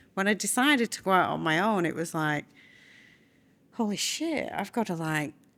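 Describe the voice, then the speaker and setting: In a very clean recording with a silent background, a woman with a northern English accent speaks at medium pitch and a moderate pace, with lively intonation and long, frequent pauses. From northern England, Burnley. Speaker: bid writer and business owner. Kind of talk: casual chat.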